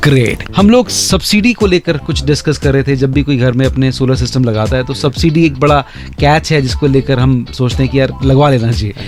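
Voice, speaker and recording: Over music in the background, a man with a medium pitch speaks at a moderate pace with lively intonation and hardly any pauses. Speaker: radio jockey, interviewer. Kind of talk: radio interview host questions.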